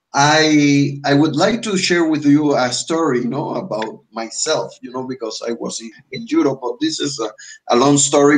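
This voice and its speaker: A man with a Spanish accent, fairly high pitch and ordinary pitch variation, speaking at a moderate pace with big swings in loudness. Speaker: English teacher. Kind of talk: online language class. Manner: halting, many fillers and restarts.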